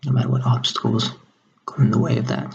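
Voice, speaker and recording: A man speaks quietly at a fairly low pitch. His pitch swings very widely. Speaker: salesperson. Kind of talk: job interview answer. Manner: quiet, low volume.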